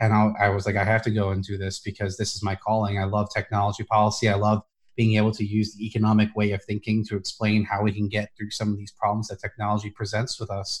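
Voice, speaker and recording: A man talks at a very fast pace with hardly any pauses, his fairly low voice somewhat breathy and his intonation monotone and flat. The recording is very clean, with a silent background. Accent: American. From New Jersey and New York. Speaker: policy analyst. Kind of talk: casual interview.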